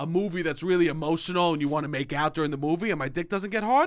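The speaker is a man. He talks at a high pitch. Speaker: podcast co-host. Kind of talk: casual chat. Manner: loud; animated.

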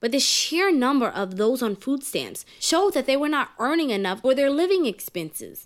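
With an American accent, a woman talks fairly quickly in a high voice that swings very widely in pitch. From New York City, Harlem. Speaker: podcast host. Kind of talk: scripted narration.

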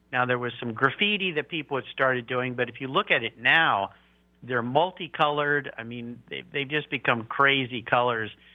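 Using a normal speaking voice with an American accent, a man talks at a moderate pace in a fairly high pitch. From Southern California (San Diego). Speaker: car podcast host. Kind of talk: interview.

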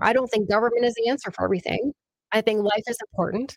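In an American accent, a woman talks with a fairly high pitch and fairly even intonation. The sound is dry and close, with no echo. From northern Minnesota, Clearwater County. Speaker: state legislator. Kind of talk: casual chat. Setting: studio.

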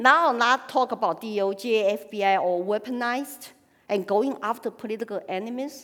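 A woman speaks fairly slowly in a Chinese accent, her fairly high voice showing ordinary pitch variation. The recording is very clean with a silent background. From China (Sichuan, Chengdu). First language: Sichuan Chinese. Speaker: political activist and speaker. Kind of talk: personal testimony speech. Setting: stage with audience.

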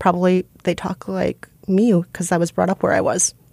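A woman with a Midwestern American accent talks at a medium pitch, recorded with a dry, close sound with no echo. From Minnesota, US Midwest. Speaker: podcast producer and co-host. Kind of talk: casual interview chat.

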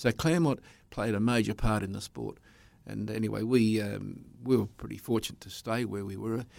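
An Australian accent at a moderate pace, with fairly even intonation and big swings in loudness. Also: man, fairly low pitch for a man. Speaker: speedway commentator. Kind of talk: interview.

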